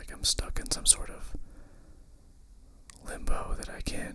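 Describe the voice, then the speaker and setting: A man whispers at a fairly slow pace over noticeable background noise. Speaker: ASMR creator. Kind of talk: ASMR whispered ramble. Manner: whispered.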